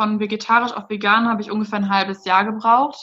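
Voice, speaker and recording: A woman's bright, sharp tone sits at a fairly high pitch as she talks at a fairly quick pace. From Germany, Rhein-Sieg district. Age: 20s. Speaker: food blogger. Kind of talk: casual interview.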